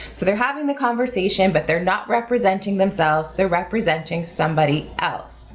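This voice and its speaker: A woman with a General American accent at a medium pitch, fairly quick and lively, with hardly any pauses and music in the background. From United States. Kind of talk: casual educational explanation to camera.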